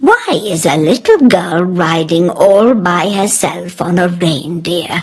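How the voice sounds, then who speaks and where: A woman in a put-on character voice, fairly low-pitched, at a fairly slow pace. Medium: read story. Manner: warm, motherly.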